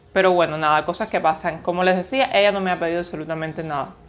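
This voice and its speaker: In an ordinary speaking voice, a woman at medium pitch speaks at a fairly quick pace with ordinary pitch variation. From Cuba. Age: 30s. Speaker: vlogger. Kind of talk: casual vlog talk to camera.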